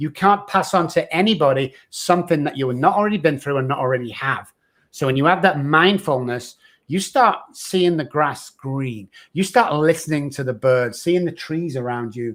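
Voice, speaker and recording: A man talks in a fairly high pitch at a moderate pace. His intonation is lively. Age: 60s. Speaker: addiction recovery expert. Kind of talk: podcast interview. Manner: animated.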